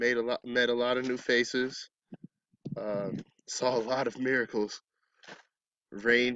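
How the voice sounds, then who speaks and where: A man with an American accent, dry with no echo, against a quiet background. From Arizona. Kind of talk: testimony. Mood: calm, reflective. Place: open country. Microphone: phone near.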